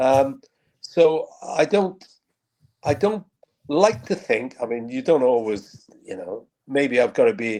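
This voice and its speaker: A man with a Welsh accent speaks at a very slow pace, his fairly high voice dark and mellow in tone. His pitch swings very widely, and he leaves long, frequent pauses. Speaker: football radio commentator. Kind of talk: interview.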